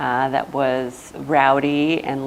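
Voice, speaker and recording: A woman's very deep, low voice with an American accent and monotone, flat intonation, over noticeable background noise. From Brazil, then New Jersey from childhood. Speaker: education center director. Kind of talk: personal interview monologue. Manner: hesitant, with frequent fillers.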